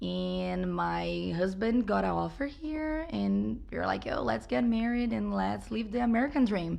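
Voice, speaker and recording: A woman with a Brazilian accent speaks at a fairly slow pace. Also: hardly any pauses. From Brazil, São Paulo suburbs. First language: Portuguese. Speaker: business owner and chef. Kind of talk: interview.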